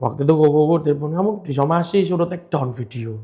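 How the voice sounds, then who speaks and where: Speaking very fast with a Surabaya accent, a man with a fairly high, somewhat breathy voice varies his pitch in an ordinary way. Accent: Javanese Surabaya accent (medok). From Indonesia, Surabaya (East Java). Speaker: marble businessman. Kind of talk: casual chat.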